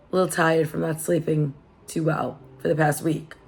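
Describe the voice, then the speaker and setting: A woman speaks at a moderate pace while noticeable background noise runs underneath. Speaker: lifestyle vlogger. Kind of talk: casual chat. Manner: relaxed.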